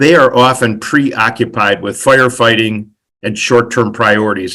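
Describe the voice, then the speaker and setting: A man with a bright, sharp tone and medium pitch talks at a moderate pace with ordinary pitch variation. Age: 70s. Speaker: finance and performance management expert. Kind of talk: webinar presentation. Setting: video call webinar.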